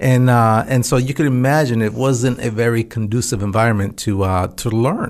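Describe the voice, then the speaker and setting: A man with an American accent talks at a moderate pace and medium pitch, in a normal speaking voice. His loudness stays very even and he hardly pauses. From central California. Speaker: former astronaut. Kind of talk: interview.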